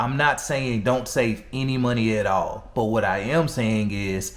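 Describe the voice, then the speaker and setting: Speaking at a fairly slow pace, a man holds a medium pitch. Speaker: personal finance commentator. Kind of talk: casual talk to camera. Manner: energetic, blunt, humorous.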